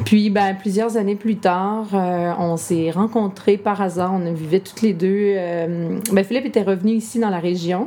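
A woman speaks at a moderate pace in a medium pitch with fairly even intonation, and noticeable background noise is present. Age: 30s. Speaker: entrepreneur and mother of five. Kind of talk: interview conversation. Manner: hesitant, many fillers.

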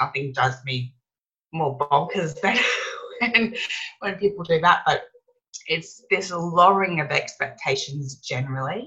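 With an Australian accent, a woman talks at a fairly slow pace with long, frequent pauses, using lively intonation at a fairly low pitch. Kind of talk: interview.

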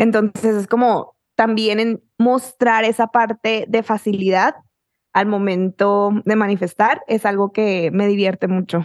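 In an unremarkable speaking voice, a woman speaks with fairly high pitch, fairly even intonation and very even loudness. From Mexico, Chihuahua (small town). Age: 20s. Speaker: author and manifestation coach, podcaster. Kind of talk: casual chat.

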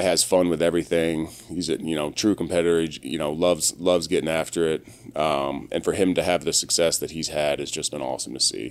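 Speaking with an American accent, a man uses a very deep, low pitch and fairly even intonation at a fairly quick pace. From Maryland, US. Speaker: professional football player. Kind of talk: casual interview.

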